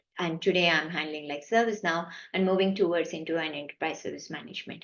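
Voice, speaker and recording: At a fairly quick pace, a woman with a Kannada accent speaks in a fairly low pitch with fairly even intonation. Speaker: IT managing director. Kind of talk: interview answer.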